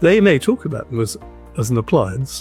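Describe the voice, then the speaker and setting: Music plays in the background as a man with a medium pitch talks at a moderate pace. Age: 80s+. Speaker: dental implant patient. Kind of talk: interview answer. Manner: hesitant, halting.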